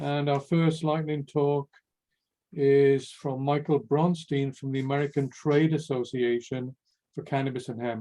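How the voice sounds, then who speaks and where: A man speaks with a Welsh accent at a fairly high pitch. His tone is dark and mellow, his intonation fairly even. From Wales. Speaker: workshop moderator. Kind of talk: event moderation.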